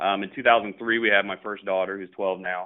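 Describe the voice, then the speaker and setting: With a very deep, low pitch, a man talks at a fairly quick pace. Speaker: business owner. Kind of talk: casual interview. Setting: phone call.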